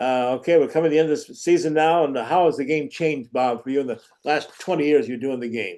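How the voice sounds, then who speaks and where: Over a quiet background, a man races along at a very fast pace in a fairly high pitch with ordinary pitch variation. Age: 70s. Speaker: sports talk show host. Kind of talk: interview.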